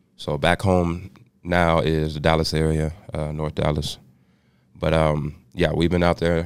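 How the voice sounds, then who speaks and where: A man's very deep, low voice, monotone and flat in intonation, at a fairly slow pace. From Austin, Texas. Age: 30s. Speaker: rapper. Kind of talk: casual interview chat.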